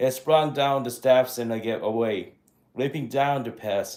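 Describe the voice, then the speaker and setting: With a non-native accent, a man talks at a medium pitch in a dark, mellow tone. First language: not English. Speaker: amateur book reader. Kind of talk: reading aloud. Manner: halting, frequent self-corrections.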